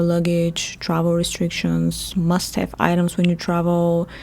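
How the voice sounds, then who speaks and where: A woman with a Bulgarian accent at a moderate pace. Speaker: travel podcast host. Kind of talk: podcast monologue. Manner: chatty, talkative.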